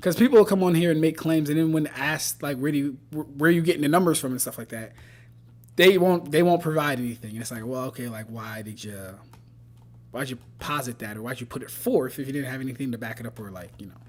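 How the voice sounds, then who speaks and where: Very fast and lively in intonation, a man's fairly high voice swings widely in loudness. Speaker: streamer analyzing anime power-scaling debates. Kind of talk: casual live stream chat. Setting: live stream. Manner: occasional stutter when rushing.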